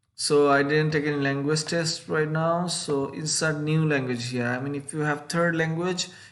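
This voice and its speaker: A man with a Bengali accent speaks at a moderate pace and a fairly high pitch, his intonation fairly even, with audible room echo. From Bangladesh. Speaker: YouTuber giving scholarship advice. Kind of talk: screen-share tutorial. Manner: halting, with frequent fillers.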